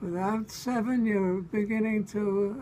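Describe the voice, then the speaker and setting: Speaking very slowly, a man with an American accent has a high pitch and a dark, mellow tone. His intonation stays fairly even. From Brooklyn, New York. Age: 80s+. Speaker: former radio writer. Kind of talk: interview answer. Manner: hesitant.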